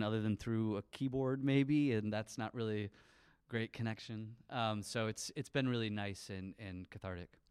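In a Midwestern American accent, a man speaks at a medium pitch and moderate pace with fairly even intonation, in a very clean recording with a silent background and a dry, close sound with no echo. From Michigan, near Lansing (St. Johns). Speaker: touring band musician. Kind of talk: interview. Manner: halting.

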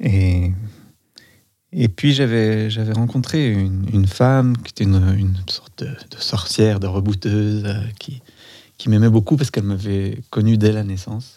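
Pausing long and often, a man speaks at a fairly slow pace in a fairly low voice with a dark, mellow tone. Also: ordinary pitch variation. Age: 40s. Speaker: dancer and body-psychotherapist. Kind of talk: casual chat. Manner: halting.

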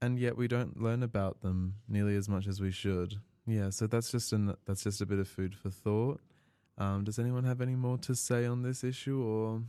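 A man with an Australian accent speaks at a moderate pace in a dark, mellow tone, his pitch fairly low, his intonation fairly even and his loudness very even, in a very clean recording with a silent background. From Melbourne, Australia. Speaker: student podcast host. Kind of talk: casual chat.

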